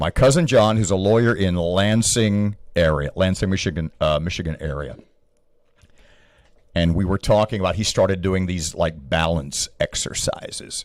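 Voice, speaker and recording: Speaking in a very deep, low voice, a man keeps a moderate pace and ordinary pitch variation. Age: 70s. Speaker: life strategist. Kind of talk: casual chat. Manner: animated.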